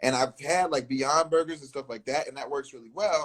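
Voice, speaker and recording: A man talks at a fairly quick pace with an American accent. He has a normal speaking voice with ordinary pitch variation. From US South. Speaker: podcast host. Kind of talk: casual chat.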